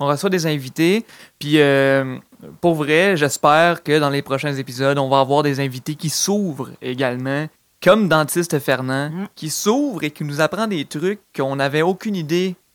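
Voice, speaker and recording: An ordinary speaking voice at a moderate pace, with ordinary pitch variation, in a dry, close sound with no echo and a very clean recording with a silent background. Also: man, fairly high pitch for a man. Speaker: comedy podcast host. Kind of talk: comedic casual chat.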